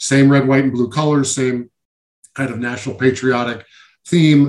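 A man's normal speaking voice, medium in pitch, at a moderate pace, with an American accent. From Syracuse, New York. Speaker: former pro basketball player. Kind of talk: interview.

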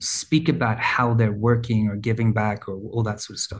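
A somewhat breathy man's voice at a medium pitch. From rural Australia. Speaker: brand founder and former advertising creative. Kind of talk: casual chat.

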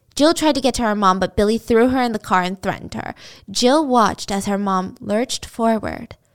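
This is an unforced reading voice. Its pitch varies an ordinary amount.

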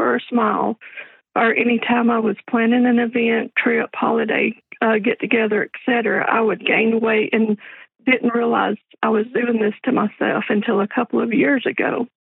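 At a moderate pace, a woman speaks with a fairly high pitch and fairly even intonation in a plain, everyday voice. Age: 40s. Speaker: caller. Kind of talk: reading a written question aloud.

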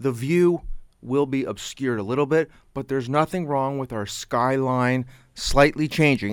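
A man talks at a moderate pace in a medium pitch. The recording is very clean, with a silent background. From Canada. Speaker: local cable TV host. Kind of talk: casual chat. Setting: radio studio.

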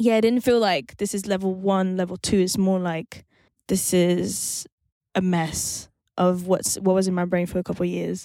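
On a very clean recording with a silent background, a woman speaks at a moderate pace. Her medium-pitched voice has a dark, mellow tone and fairly even intonation. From France. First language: French. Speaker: singer-songwriter and producer. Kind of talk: interview. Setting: studio.

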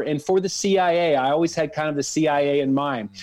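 This man has a normal speaking voice, fairly high in pitch, with an American accent. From US, Dallas, Texas. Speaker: anti-trafficking advocate, former intelligence officer. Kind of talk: interview.

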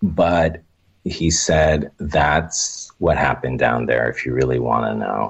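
Speaking very slowly with an American accent, a man shows vocal fry and ordinary pitch variation. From Oxnard, California. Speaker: storyteller guest. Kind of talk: casual interview, telling personal stories.

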